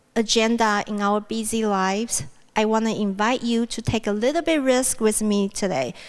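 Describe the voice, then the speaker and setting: A woman speaks with a Mandarin accent. Her pitch is fairly high and her intonation fairly even. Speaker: university speaker. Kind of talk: plenary talk.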